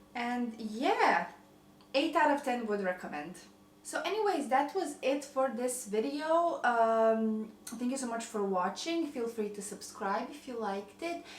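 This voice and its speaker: In a slight Croatian accent, a woman speaks high-pitched at a fairly slow pace with lively intonation, and audible room echo is present. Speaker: lifestyle vlogger. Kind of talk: casual cooking vlog.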